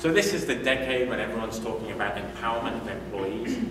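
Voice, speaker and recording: Over noticeable background noise and audible room echo, a man talks at a very fast pace. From UK. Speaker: agile coach and conference speaker. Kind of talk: conference talk. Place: meeting room. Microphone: camera far.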